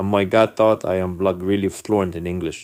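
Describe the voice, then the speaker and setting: A man with a non-native accent talks fairly slowly in a very deep, low voice. His intonation is monotone and flat, and the recording is very clean with a silent background. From non-English-speaking country, emigrated to US as a youth. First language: not English. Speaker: vlogger telling personal stories. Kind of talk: casual storytelling monologue.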